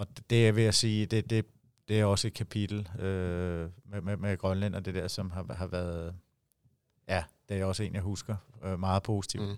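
In a very clean recording with a silent background, a man with a very deep, low pitch speaks in a monotone, flat intonation at a fairly slow pace with long, frequent pauses. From Denmark, Herlev (Copenhagen area). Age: 40s. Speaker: handball head coach. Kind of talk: interview. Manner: halting, many fillers and repetitions.

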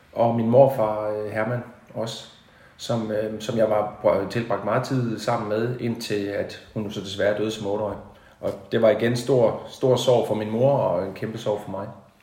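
A man speaks at a very slow pace with a medium pitch and monotone, flat intonation. Audible room echo surrounds his voice. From Denmark, Haderslev (South Jutland). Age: 40s. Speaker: musician. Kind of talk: interview. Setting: at the host's home. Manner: halting.

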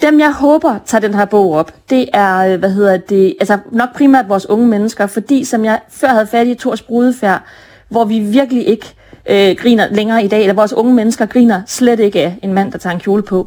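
A woman speaks in a dark, mellow tone at a medium pitch. Her pace is fairly quick, with ordinary pitch variation. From northern Jutland, Denmark (Brønderslev). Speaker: author. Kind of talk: interview.

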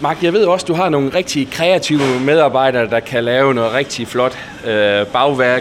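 A man's medium-pitched voice at a moderate pace, with ordinary pitch variation, very even loudness and noticeable background noise. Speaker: podcast interviewer. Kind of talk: interview. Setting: on location in a bakery.

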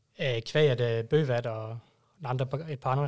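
This is a man speaking at a medium pitch. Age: 30s. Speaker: fan club member. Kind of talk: casual chat. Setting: studio.

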